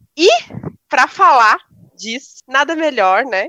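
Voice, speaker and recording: Bright and sharp in tone, a woman speaks very slowly with very wide swings in pitch, the sound dry and close with no echo. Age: young. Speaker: podcast co-host. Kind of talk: casual chat.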